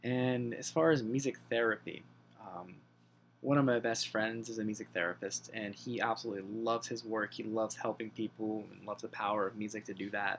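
A man talks fairly fast, his intonation fairly even, with light noise in the background. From southern Pennsylvania, US. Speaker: graduate student in music therapy. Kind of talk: self-introduction video. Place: home room. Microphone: webcam.

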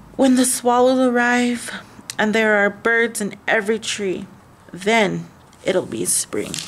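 Mumbling in a put-on character voice, a woman speaks at a fairly slow pace with a fairly high pitch and fairly even intonation, with light background noise behind her. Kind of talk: children's story read-aloud. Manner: mumbling, sleepy.

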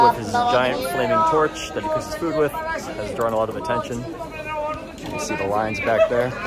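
With crowd noise in the background, a man's voice comes through dry, with no echo. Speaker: travel vlogger. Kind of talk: casual vlog chat. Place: bar. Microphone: phone near.

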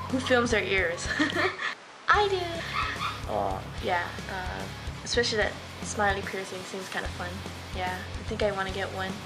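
A woman talks at a moderate pace with long, frequent pauses. Music plays in the background. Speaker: vlogger. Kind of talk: casual vlog chat. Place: kitchen. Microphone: webcam.

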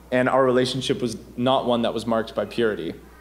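A man talks fairly quickly, and audible room echo hangs on his words. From Ontario. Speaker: campus missionary. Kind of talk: sermon. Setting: church.

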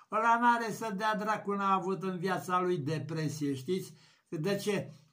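A man's raised, projected voice, high-pitched and bright, sharp in tone, with ordinary pitch variation, at a fairly slow pace against a quiet background. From Romania. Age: 70s. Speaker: YouTuber. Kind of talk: vlog rant. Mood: indignant, mocking rant. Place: home room. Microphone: webcam.

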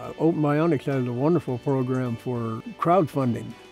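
A Pacific Northwest accent at a moderate pace with ordinary pitch variation, dry sound with no echo, and faint music in the background. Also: man. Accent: Pacific Northwest American English. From Pacific Northwest, USA. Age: 70s. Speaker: prosthetic arm user, hobby woodworker. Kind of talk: testimonial interview answer. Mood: warm, enthusiastic. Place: garden. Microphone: lapel.

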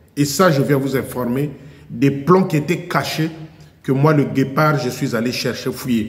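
A man speaks at a fairly slow pace with a fairly high pitch and ordinary pitch variation. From Republic of the Congo. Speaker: YouTube commentator. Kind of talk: video monologue. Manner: animated. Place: garage. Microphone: headset.

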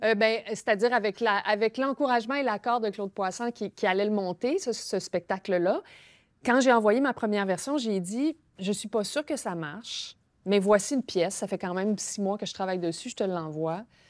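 The speaker has a Quebec accent and ordinary pitch variation at a moderate pace. Behind the voice, the background is quiet. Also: woman. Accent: Québécois French. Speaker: novelist and playwright; guest. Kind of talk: interview. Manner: halting. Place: studio. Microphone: lapel.

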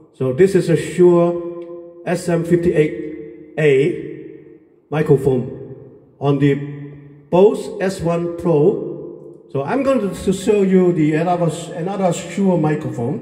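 A man with a high voice speaks very slowly with ordinary pitch variation, and audible room echo can be heard. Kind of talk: tutorial. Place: home room. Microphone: pa.

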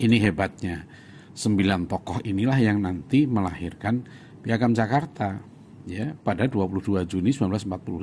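A man's dark, mellow tone at a fairly slow pace. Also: fairly low pitch for a man, ordinary pitch variation. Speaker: Islamic organization leader and scholar. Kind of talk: explanatory talk, commentary with read-out quotes. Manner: measured, didactic, with filler words.

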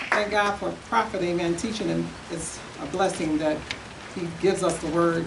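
A woman speaks with fairly even intonation while noticeable background noise is present. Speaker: evangelist. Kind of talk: testimony. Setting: church. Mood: fervent, encouraging. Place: church. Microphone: podium.

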